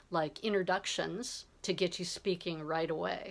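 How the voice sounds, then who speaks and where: This woman's voice is fairly low-pitched, with an American accent and ordinary pitch variation. The recording is very clean, with a silent background. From Southern California, US. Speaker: English tutor. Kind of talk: self-introduction video. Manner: clear, friendly.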